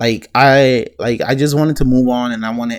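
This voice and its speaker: Here a man speaks at a medium pitch. His intonation is fairly even. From Puerto Rican and West Indian heritage. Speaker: storytime YouTuber. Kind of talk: casual storytelling monologue. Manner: halting, many fillers and restarts.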